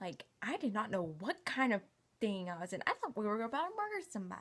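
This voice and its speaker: A woman with an American accent, fairly high pitch, lively intonation and a very fast pace. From US South, Knoxville, Tennessee. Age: 20s. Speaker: vlogger. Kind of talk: casual personal vlog. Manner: casual, filler-heavy.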